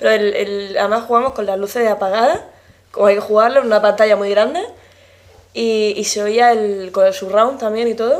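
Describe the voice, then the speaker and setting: At a fairly quick pace, a woman with a fairly high pitch speaks in an unremarkable speaking voice with fairly even intonation. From Murcia, Spain. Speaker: gamer guest. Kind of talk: casual interview.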